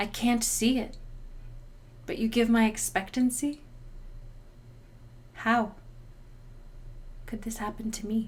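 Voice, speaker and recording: Fairly high and somewhat breathy, a woman's voice moves at a fairly slow pace with fairly even intonation. She takes long, frequent pauses. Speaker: poet. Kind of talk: spoken word poetry performance.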